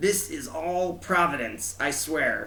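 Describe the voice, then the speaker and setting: A man puts on a character voice, high-pitched and soft-spoken. He talks at a fairly slow pace over light background noise. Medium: read story. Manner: soft, earnest.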